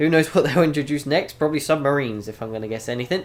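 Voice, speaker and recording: This man, with a British accent, has a fairly high pitch and ordinary pitch variation. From United Kingdom. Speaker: gaming YouTuber. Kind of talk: game review commentary. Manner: casual with many fillers.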